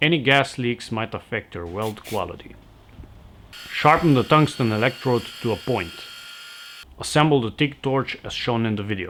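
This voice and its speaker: Speaking at a moderate pace with a non-native accent, the speaker leaves long, frequent pauses. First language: not English. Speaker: welding tutorial maker. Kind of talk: instructional tutorial narration.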